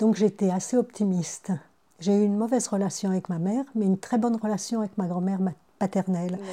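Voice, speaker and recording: At a fairly quick pace, a woman speaks in a somewhat breathy voice at medium pitch with fairly even intonation. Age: 70s. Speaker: retired midwife and grandmother. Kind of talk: interview testimony. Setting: at her son's house. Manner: hesitant, with repetitions.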